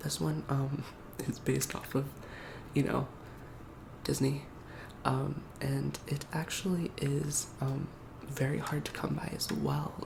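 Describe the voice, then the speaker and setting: A man whispers softly. Background noise is noticeable. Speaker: roleplay game store clerk. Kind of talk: ASMR game store roleplay. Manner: soft-spoken, whispering.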